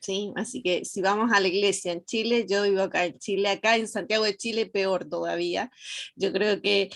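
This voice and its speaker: A woman speaks in an Argentine accent. Her pace is moderate and her pitch variation ordinary. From Argentina. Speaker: student. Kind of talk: class discussion.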